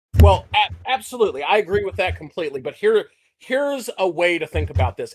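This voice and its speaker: A man with a Texas accent at a fairly quick pace. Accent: Texas accent, self-described as mushmouth. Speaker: podcast co-host. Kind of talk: casual chat.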